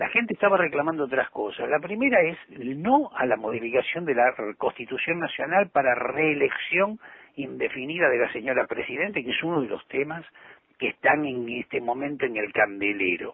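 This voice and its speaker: Speech moves at a moderate speed. Its pitch rises and falls very widely. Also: man, fairly high pitch for a man. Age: 60s. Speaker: politician and journalist. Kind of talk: interview.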